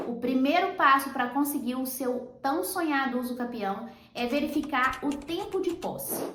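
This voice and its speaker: With a Brazilian accent and an animated tone, a woman speaks at a high pitch and a fairly slow pace, hardly pausing, her pitch varying in an ordinary way amid audible room echo. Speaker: real estate lawyer. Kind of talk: tutorial.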